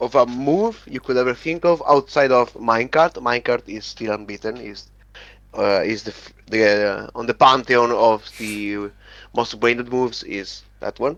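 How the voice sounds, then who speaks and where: Speaking at a moderate pace with an Italian accent, a man keeps a medium pitch and ordinary pitch variation while his loudness swings widely. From Italy. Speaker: competitive gamer. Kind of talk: interview. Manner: halting.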